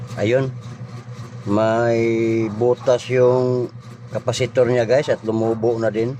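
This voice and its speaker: A man's medium-pitched, monotone voice at a very slow pace, with noticeable background noise. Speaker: vlogger doing electronics repair. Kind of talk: repair tutorial. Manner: casual, halting with fillers.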